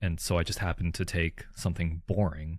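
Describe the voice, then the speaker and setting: A man speaks at a fairly quick pace in a somewhat breathy voice, on a very clean recording with a silent background. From Calgary, Canada. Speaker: co-host, street photographer. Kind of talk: casual chat.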